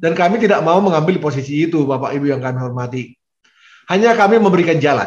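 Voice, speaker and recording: Room echo can be heard around a man's voice. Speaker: vice rector giving guidance to lecturers. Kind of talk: formal briefing address. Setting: video call. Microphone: video call.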